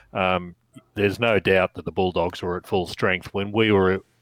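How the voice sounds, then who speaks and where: A man with an Australian accent at a moderate pace, very deep and low in pitch, monotone and flat, on a very clean recording with a silent background and a dry, close sound with no echo. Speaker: podcast co-host. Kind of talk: casual chat.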